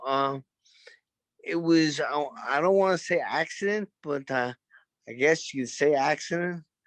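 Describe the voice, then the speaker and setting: A man talks at a fairly slow pace with a Brooklyn accent. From Brooklyn, New York. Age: 50s. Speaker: former boxer, gym owner. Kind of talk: interview.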